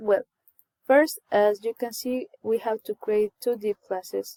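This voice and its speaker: Fairly high in pitch, a woman speaks in a dark, mellow tone with a non-native accent. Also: dry, close sound with no echo. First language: not English. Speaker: coding tutorial creator. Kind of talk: tutorial. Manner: halting.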